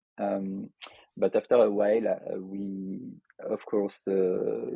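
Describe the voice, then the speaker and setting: With a French accent, a man speaks at a very slow pace. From France, Lyon. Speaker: software developer and entrepreneur. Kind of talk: podcast interview. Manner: hesitant, many filler sounds.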